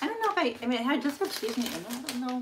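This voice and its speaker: A woman's voice swings very widely in pitch. Noticeable background noise runs underneath. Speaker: YouTuber doing a live stream. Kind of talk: casual live-stream chat while cooking. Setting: home kitchen, live stream. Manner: rambling, giggly. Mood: unsure, musing. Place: kitchen. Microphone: phone near.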